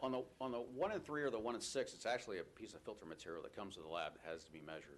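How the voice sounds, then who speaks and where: A man speaks at a very fast pace with vocal fry. His loudness shifts a lot and his pitch swings very widely. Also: medium pitch for a man. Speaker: state air quality official. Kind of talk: public hearing testimony.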